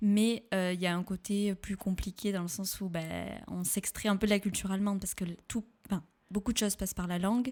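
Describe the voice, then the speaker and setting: A woman with a medium pitch and fairly even intonation delivers her words at a fairly quick pace. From southwestern France, Pau. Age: 20s. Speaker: podcast guest. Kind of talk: casual interview. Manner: hesitant, many fillers.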